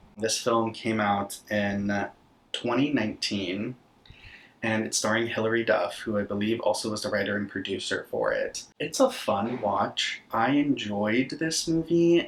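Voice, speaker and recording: In a plain, everyday voice, a man speaks at a fairly slow pace, medium in pitch with ordinary pitch variation. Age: 20s. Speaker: horror content creator and podcaster. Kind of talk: casual talk to camera, film recap.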